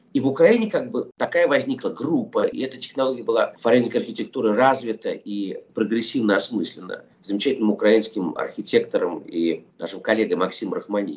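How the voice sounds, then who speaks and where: Words come fairly quickly, with the speaker hardly ever pausing. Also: man. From Soviet Union (Russia). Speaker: film director. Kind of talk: interview.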